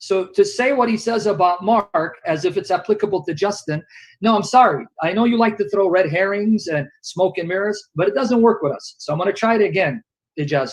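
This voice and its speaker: A loud man with a high pitch, ordinary pitch variation and a fairly quick pace. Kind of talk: heated debate.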